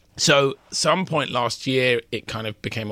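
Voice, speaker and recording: Lively in intonation, a man with a British accent speaks in a bright, sharp tone. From United Kingdom. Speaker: M&A reporter. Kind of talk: interview about business deals. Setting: studio.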